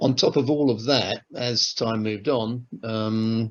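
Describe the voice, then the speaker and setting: In a southern English accent, a man speaks at a medium pitch and a very slow pace with fairly even intonation. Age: 60s. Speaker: retired airline manager. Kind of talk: interview testimony. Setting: on-camera interview. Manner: hesitant, with fillers.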